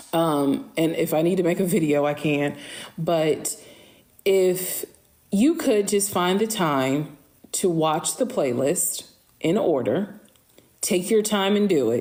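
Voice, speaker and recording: A woman with a fairly low voice speaks very slowly with lively intonation, very even loudness, and long, frequent pauses. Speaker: social media storyteller. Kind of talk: live stream Q&A. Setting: live stream.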